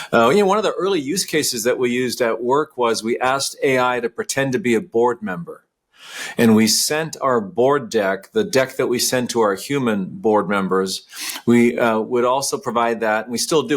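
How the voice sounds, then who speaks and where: A man talks at a moderate pace with a medium pitch. His intonation is lively. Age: 60s. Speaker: company CEO. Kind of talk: podcast interview. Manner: hesitant, with many fillers and repeats.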